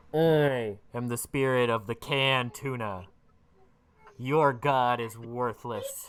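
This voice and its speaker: Putting on a booming character voice, a man speaks at a medium pitch. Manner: grandiose, commanding.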